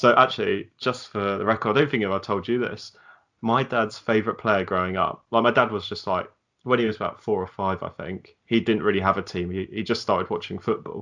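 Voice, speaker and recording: A man speaks at a fairly quick pace in a bright, sharp tone. The background is quiet. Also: medium pitch for a man, fairly even intonation. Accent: Southern English. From southern England. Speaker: football podcast co-host. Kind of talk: casual chat.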